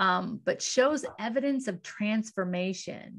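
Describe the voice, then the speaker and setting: A woman's fairly high, enthusiastic voice with lively intonation, against a quiet background. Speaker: podcast host. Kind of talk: interview. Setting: video call. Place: home room. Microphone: studio mic.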